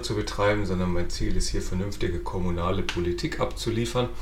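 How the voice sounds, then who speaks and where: A man talking at a fairly quick pace, amid noticeable background noise and audible room echo. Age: 30s. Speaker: podcast host and local politician. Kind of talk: casual political interview podcast.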